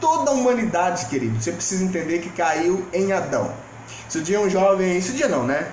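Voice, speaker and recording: With lively intonation and a high pitch, a man talks at a fairly quick pace amid noticeable background noise and audible room echo. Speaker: pastor. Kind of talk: sermon. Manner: informal, direct address to viewers.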